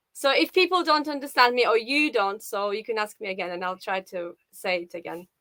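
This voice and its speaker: Speaking with a Russian accent, a woman moves at a fairly quick pace with hardly any pauses, her fairly high voice making very wide pitch swings and big swings in loudness. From Russia, Saint Petersburg. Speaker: live show guest, viewer. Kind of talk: casual interview.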